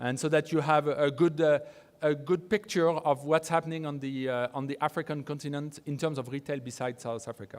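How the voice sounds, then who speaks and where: A man with a French accent speaks at a fairly quick pace. His intonation is fairly even, and the recording is very clean with a silent background. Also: fairly high pitch for a man. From France. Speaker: research firm founder, conference speaker. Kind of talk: conference presentation. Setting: conference stage with audience. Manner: halting, many fillers and repetitions.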